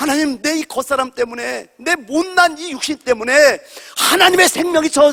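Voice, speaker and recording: A man's raised, projected voice, animated in tone and lively in intonation, in a dry, close sound with no echo. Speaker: pastor. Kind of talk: sermon. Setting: church. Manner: loud.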